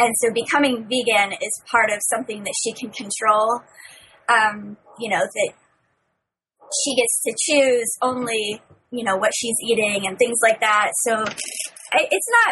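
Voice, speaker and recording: In an unremarkable speaking voice, a woman talks at a fairly slow pace with a fairly high pitch and fairly even intonation. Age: 30s. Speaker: young adult novelist. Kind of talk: casual chat.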